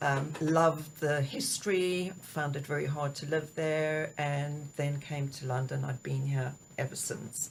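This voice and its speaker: Her pitch is very deep and low, and this woman speaks with a South African accent at a fairly slow pace. Her intonation is monotone and flat, and her voice is somewhat breathy. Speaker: executive coach. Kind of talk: interview. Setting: studio.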